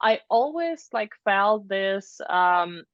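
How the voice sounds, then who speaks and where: Speech in a Russian accent rises and falls with lively intonation. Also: woman. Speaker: product designer and mentor. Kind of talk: interview. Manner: halting, many fillers.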